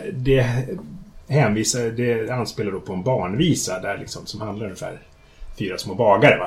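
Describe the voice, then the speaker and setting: Over noticeable background noise, a man of medium pitch speaks at a moderate pace with ordinary pitch variation and big swings in loudness. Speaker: fantasy author. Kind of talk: casual chat. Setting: in his home kitchen, in person.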